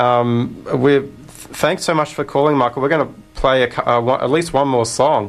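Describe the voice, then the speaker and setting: In an Australian accent, the voice moves at a moderate pace with fairly even intonation over noticeable background noise. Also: man. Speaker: radio host. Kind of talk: radio interview.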